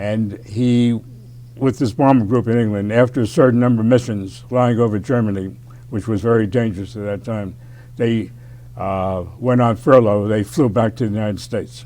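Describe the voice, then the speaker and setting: A dark, mellow voice in an American accent moves at a moderate pace with fairly even intonation. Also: man, medium pitch for a man. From New York City (Bronx). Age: 90s. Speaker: war veteran. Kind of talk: interview.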